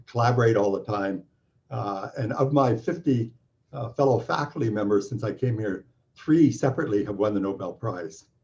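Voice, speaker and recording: A somewhat breathy man with a Canadian accent talks at a fairly quick pace with ordinary pitch variation. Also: medium pitch for a man. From Canada. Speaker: physics professor. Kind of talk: welcome talk. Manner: halting.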